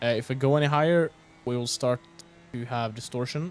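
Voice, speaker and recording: Speaking at a fairly quick pace, a man with a Swedish accent uses ordinary pitch variation. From Sweden. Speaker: sim racing commentator. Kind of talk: live commentary. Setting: livestream.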